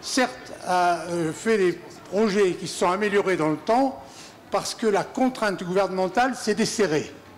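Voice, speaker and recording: The pace is fairly slow. Light background noise can be heard. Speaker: audience member. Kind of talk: audience question. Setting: audience at a festival debate. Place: hall.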